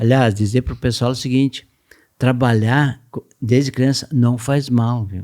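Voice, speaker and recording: Fairly even intonation in a man's dark, mellow voice. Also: medium pitch for a man, fairly slow pace. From southern Brazil, Rio Grande do Sul (Gramado countryside). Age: 70s. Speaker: business founder and company president. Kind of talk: podcast interview.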